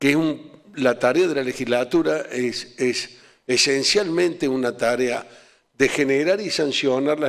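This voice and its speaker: The man's voice sits at a medium pitch, varying in an ordinary way. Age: 60s. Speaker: provincial legislator. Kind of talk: talk to students. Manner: halting.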